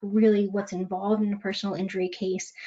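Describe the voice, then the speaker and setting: Her intonation stays fairly even. The woman's medium-pitched voice is somewhat breathy. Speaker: legal malpractice risk speaker. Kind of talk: webinar presentation. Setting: webinar. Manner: fast.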